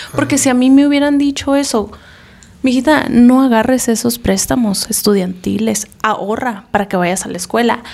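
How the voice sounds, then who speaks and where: A woman talks at a moderate pace with a fairly high pitch and ordinary pitch variation. There is noticeable background noise. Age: 30s. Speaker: podcast co-host. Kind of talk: casual chat.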